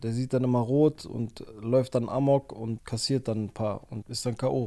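Very slowly and in a flat monotone, a man speaks with a medium-pitched, dark, mellow tone. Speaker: MMA podcaster. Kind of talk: casual solo podcast talk.

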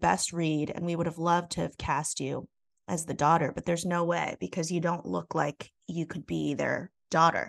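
Vocal fry runs through this moderately paced voice over a quiet background. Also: woman. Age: 40s. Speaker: actor. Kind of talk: casual chat.

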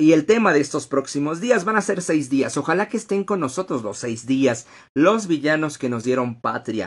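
A man talks in a fairly high pitch. His voice swings very widely in pitch. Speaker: history podcast host and workshop teacher. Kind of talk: live-streamed lecture. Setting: Facebook Live stream.

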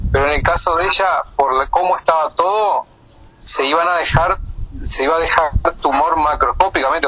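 A man speaks fairly quickly in a high pitch, his intonation fairly even. Noticeable background noise runs behind him. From Uruguay, Canelones area. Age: 50s. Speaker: pediatric surgeon. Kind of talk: interview.

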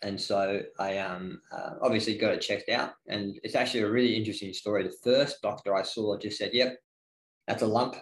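A man at a fairly quick pace, in an Australian accent. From Northeast Victoria, Australia. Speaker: gym head coach. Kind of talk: casual interview.

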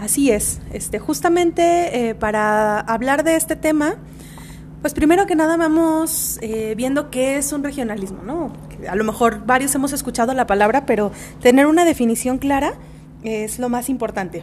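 Against noticeable background noise, a woman with a high pitch speaks at a moderate pace with lively intonation. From Mexico, Guadalajara. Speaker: podcast co-host. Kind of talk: casual chat.

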